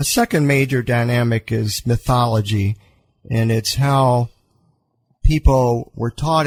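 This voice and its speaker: Speaking with an American accent, a man talks at a fairly slow pace and medium pitch. His voice is somewhat breathy, with a dry, close sound and no echo. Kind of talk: radio interview answer. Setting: studio.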